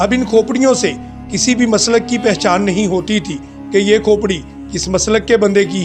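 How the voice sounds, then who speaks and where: A man's high voice with ordinary pitch variation, over music in the background. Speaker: Islamic speaker, writer and educationist. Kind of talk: Islamic motivational sermon.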